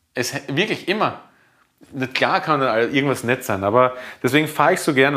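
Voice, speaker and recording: A man delivers his words fairly quickly, his pitch varying in an ordinary way. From Lower Austria, near Hungarian border. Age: 30s. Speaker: chef. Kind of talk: casual chat. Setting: home kitchen. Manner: halting.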